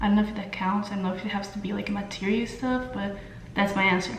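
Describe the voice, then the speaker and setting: Spoken with a Brazilian Portuguese accent, the voice comes through noticeable background noise and audible room echo. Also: woman. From Brazil, São Paulo. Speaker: beauty vlogger. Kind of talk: casual makeup tutorial and Q&A. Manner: hesitant, many fillers.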